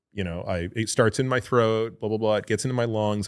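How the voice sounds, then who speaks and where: Fairly low in pitch, a man talks in a normal speaking voice at a fairly quick pace with fairly even intonation on a very clean recording with a silent background. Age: 50s. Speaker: physician and book author. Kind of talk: casual podcast interview.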